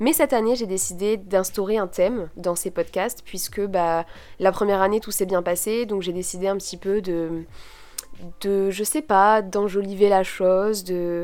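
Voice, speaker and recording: Her medium-pitched voice moves at a fairly slow pace, and this woman keeps her intonation fairly even. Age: 20s. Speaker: podcaster and student. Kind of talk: solo podcast monologue. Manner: casual, many fillers.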